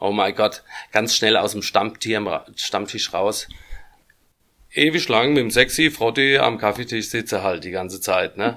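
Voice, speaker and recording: A man talks at a fairly slow pace in a bright, sharp tone. His pitch is medium, with ordinary pitch variation. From Germany, Aschaffenburg (Lower Franconia). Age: 50s. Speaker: band founder and musician. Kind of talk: casual interview chat. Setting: studio.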